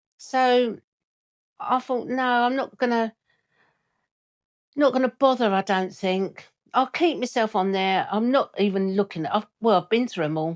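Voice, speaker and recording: On a very clean recording with a silent background, a woman with an English accent talks at a fairly slow pace with long, frequent pauses. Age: 60s. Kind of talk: casual talk to camera.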